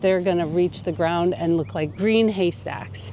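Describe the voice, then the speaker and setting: Enthusiastic in tone, a woman speaks at a fairly slow pace with a fairly low pitch and very wide pitch swings. Noticeable background noise runs underneath. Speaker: gardening youtuber. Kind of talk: garden tour. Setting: outdoors. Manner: rising question-like intonation; casual, enthusiastic.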